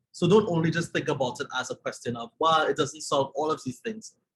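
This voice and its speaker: Speaking with a Trinidadian accent, a man uses a fairly high pitch and ordinary pitch variation. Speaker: journalism trainer. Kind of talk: webinar presentation.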